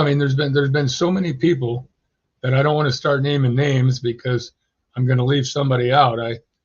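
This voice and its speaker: A man speaks at a medium pitch in a somewhat breathy voice. His intonation is fairly even. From California. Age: 80s+. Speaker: reptile keeper and breeder. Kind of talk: podcast interview.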